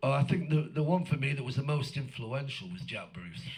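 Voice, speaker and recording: A man is speaking. His voice is somewhat breathy. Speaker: blues guitarist. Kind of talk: interview.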